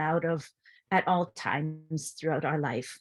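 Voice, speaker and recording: Fairly even intonation in a very clean recording with a silent background. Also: woman. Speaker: artist and performer. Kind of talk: panel discussion. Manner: halting, many fillers.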